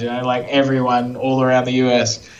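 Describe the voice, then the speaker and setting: A man's voice with an Australian accent over noticeable background noise. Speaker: SEO agency founder and CEO. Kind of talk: podcast interview answer.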